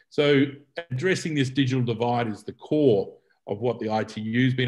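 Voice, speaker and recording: A man with an Australian accent, moderate pace and fairly even intonation. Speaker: telecommunication policy expert. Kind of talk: keynote presentation. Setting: video call. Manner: hesitant, with fillers and repetitions.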